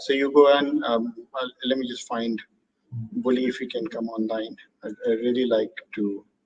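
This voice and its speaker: In an Indian accent, the speaker talks at a moderate pace. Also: man. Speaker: birding tour operator and host. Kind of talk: live online talk Q&A.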